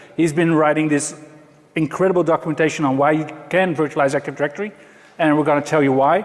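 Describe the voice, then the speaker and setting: The speaker has a Dutch accent, talking at a fairly quick pace with ordinary pitch variation. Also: man. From Netherlands. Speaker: IT consultant. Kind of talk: conference talk. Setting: stage with audience.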